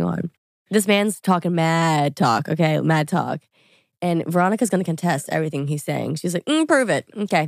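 A woman with an American accent has an ordinary speaking voice, fairly low in pitch with ordinary pitch variation. She talks at a fairly quick pace in a dry, close sound with no echo. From Louisiana, US South. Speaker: influencer. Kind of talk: casual chat.

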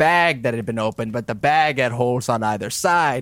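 The speaker is plainly reading aloud.

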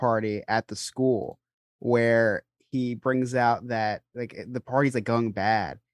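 This man has an unremarkable speaking voice, medium in pitch, and talks at a fairly slow pace. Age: 20s. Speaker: podcast co-host. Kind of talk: casual chat.

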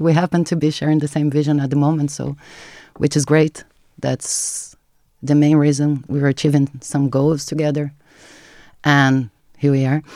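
A woman with a Portuguese accent speaks at a moderate pace in a very deep, low pitch, her dark, mellow tone flat and monotone, broken by long, frequent pauses. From Brazil. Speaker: marketing content creator. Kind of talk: casual interview chat.

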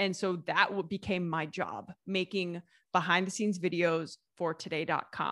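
With an American accent, a woman speaks in a bright, sharp tone at medium pitch, keeping her intonation fairly even. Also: very clean recording, silent background. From US Midwest, Southeast Ohio. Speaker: food writer and YouTuber. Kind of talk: interview.

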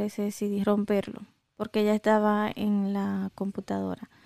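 Recorded dry and close with no echo against a silent background, a woman's voice has a dark, mellow tone on this very clean track. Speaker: podcast co-host. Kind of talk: casual chat.

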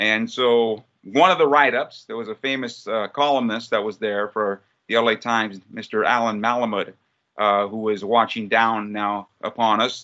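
A man speaks in a normal speaking voice at a moderate pace with an American accent. His pitch is medium and his intonation fairly even. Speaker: soccer play-by-play announcer. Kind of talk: casual interview chat.

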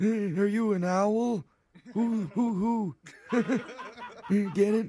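Using a put-on character voice, a man speaks at a high pitch and a very slow pace. He leaves long, frequent pauses.

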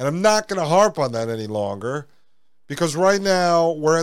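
This man has lively intonation. His voice sits at a high pitch. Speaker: podcast host. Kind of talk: political commentary.

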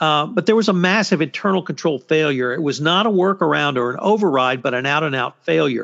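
A man with a Texas accent and a fairly high pitch, at a fairly quick pace. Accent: Texas twang. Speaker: podcast host, compliance commentator. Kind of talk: roundtable discussion.

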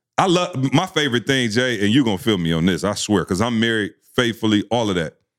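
Talking at a very fast pace, a man keeps very even loudness while his pitch swings very widely. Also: medium pitch for a man. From Lansing, Michigan. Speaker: motivational speaker. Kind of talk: casual chat. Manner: animated.

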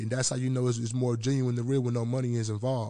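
Speaking at a very fast pace with an American accent, a man delivers his words in a dark, mellow tone with monotone, flat intonation. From Memphis, Tennessee (East Memphis). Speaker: rapper. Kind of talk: casual interview.

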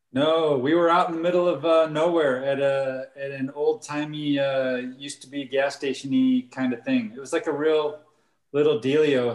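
At a moderate pace, a man with an unremarkable speaking voice talks in a fairly high pitch and fairly even intonation. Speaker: film director and camera operator. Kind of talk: casual interview chat.

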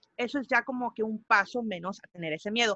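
A woman speaks in a bright, sharp tone with a Spanish accent. The sound is dry and close with no echo, against a quiet background. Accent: sounds somewhat Spanish (from Spain). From Mexico. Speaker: musician and podcaster. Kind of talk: interview.

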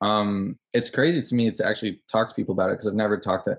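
This is an ordinary speaking voice from a man, pitched fairly low with fairly even intonation against a quiet background. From Canada, Ottawa. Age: 20s. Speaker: film student and documentary maker. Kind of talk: casual chat interview.

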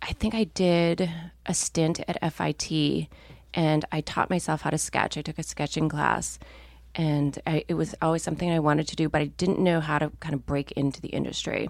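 On a very clean recording with a silent background, a woman with an American accent speaks in a very deep, low pitch with vocal fry and monotone, flat intonation. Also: moderate pace. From Minnesota. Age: 40s. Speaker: fashion designer and co-founder. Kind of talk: casual interview chat.

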